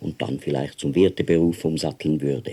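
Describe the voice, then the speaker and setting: The speaker has a dark, mellow tone with vocal fry and keeps a moderate pace. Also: man. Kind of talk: audiobook reading of a novella.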